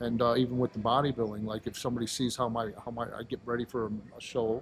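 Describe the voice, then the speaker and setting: Speaking very fast at a medium pitch, a man delivers his words in a flat monotone with a somewhat breathy quality. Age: 50s. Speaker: powerlifter and aspiring bodybuilder. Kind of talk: casual interview chat.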